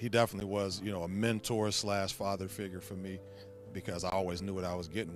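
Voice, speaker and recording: A man with an American accent speaks at a very fast pace in a very deep, low pitch. His intonation is fairly even, with music in the background. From Ohio, Youngstown. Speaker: football coach. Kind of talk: interview.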